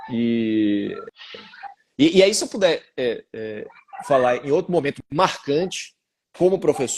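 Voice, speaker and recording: The pace is fairly slow. The intonation is lively. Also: man. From Bahia, Brazil. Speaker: law professor. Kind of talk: interview. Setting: live video stream.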